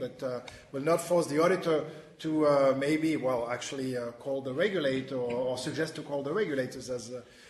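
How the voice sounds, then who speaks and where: Audible room echo surrounds a man speaking at a fairly quick pace. His intonation stays fairly even. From France. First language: French. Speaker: webinar moderator, financial reporting specialist. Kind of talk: panel discussion. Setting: webinar video conference. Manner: halting, many fillers.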